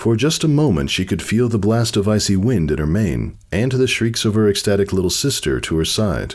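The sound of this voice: The intonation moves in a lively way. The reading voice is unforced.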